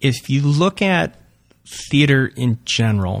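This man has a plain, everyday voice, talking at a fairly slow pace with ordinary pitch variation on a very clean recording with a silent background. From Long Island, New York (Suffolk County). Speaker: improv comedian. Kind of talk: interview.

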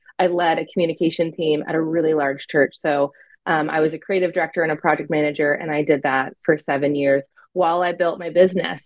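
Speaking at a moderate pace, a woman has a plain, everyday voice with fairly low pitch. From US, California and Pennsylvania. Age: 30s. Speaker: adoptive mother and former church creative director. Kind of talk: interview testimony.

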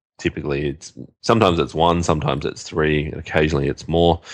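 Very fast speech comes from a man with a very deep, low pitch and vocal fry. His pitch varies in an ordinary way. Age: 30s. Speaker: podcast co-host, SEO marketer. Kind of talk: casual chat.

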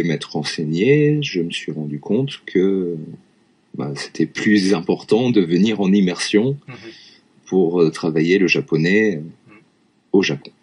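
Very slow and with long, frequent pauses, a man speaks in a very deep, low voice with lively intonation. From France, Lyon area. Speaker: French teacher. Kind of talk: casual chat.

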